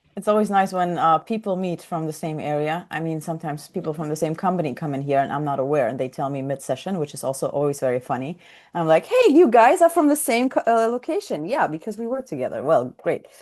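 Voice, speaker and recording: With a Russian accent, a woman talks at a very fast pace with hardly any pauses, her fairly low voice carrying lively intonation against a quiet background. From Ukraine. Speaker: software trainer. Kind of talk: online coaching session. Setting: video call.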